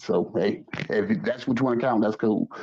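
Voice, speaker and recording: A man is speaking. He has a Southern US accent. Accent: southern drawl. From US South. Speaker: caller in a live stream debate. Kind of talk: heated debate.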